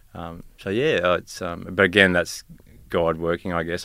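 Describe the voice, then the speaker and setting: With an Australian accent, a man speaks at a very deep, low pitch and a moderate pace. The recording is very clean, its background silent. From Tasmania, Australia. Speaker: police officer. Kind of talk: casual interview. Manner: quiet, hesitant with many fillers.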